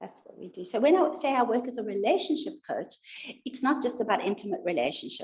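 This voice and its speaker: A somewhat breathy woman speaks at a moderate pace, her pitch swinging very widely. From South Africa. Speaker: life and relationships coach. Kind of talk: interview.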